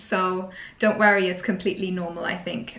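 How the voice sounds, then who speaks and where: A woman with a German accent talks over noticeable background noise. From Germany. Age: 20s. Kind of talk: casual Q&A chat. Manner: hesitant, many fillers.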